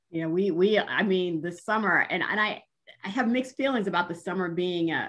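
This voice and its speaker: At a moderate pace, a woman with a plain, everyday voice speaks at a fairly low pitch with ordinary pitch variation. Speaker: university diversity executive interviewing a guest. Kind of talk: interview conversation.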